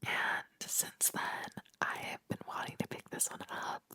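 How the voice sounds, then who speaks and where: A woman is whispering in a dry, close sound with no echo. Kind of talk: ASMR book haul, whispered talk to camera. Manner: whispered, soft-spoken.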